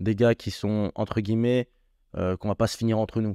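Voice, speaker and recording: Dry and close with no echo over a quiet background, a man's medium-pitched voice moves at a fairly quick pace in a monotone, flat intonation. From France, Strasbourg area. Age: 20s. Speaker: MMA fighter. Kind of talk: interview. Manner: hesitant, many fillers.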